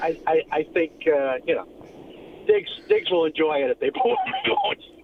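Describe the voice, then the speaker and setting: Noticeable background noise sits under a man who talks at a moderate pace. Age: 70s. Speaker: caller. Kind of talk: phone-in call.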